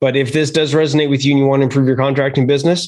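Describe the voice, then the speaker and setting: Talking at a very fast pace, a man has a monotone, flat intonation. He speaks in a Canadian accent. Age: 50s. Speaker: podcast host. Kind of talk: casual interview.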